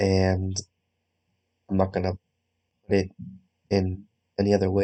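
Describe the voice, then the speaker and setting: A quiet man's voice, dark and mellow in tone, with monotone, flat intonation. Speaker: gaming youtuber. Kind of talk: gameplay commentary. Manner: hesitant, many fillers. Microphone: recording sounds quiet.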